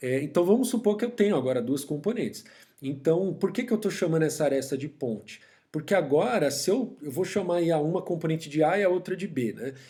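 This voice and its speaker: The speaker has a dark, mellow tone and lively intonation, moving at a fairly quick pace. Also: man, fairly high pitch for a man. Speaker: university professor. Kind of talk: lecture. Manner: fast.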